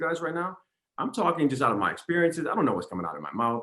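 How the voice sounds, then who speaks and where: A man speaks in an animated tone. His intonation is lively. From US, New York (Harlem). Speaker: fashion industry figure, panel guest. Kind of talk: panel discussion. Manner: loud.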